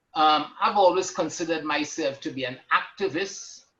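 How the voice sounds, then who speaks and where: A man with a Caribbean accent, his pitch fairly high and his tone bright and sharp, at a fairly slow pace. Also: quiet background. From Trinidad and Tobago. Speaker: retired banker and activist. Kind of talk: panel discussion.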